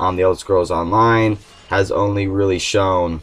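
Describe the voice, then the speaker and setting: Speaking at a moderate pace, a man with a fairly low pitch sounds somewhat breathy and keeps a monotone, flat intonation. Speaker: gaming video host. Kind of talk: casual talk to camera. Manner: hesitant, many fillers.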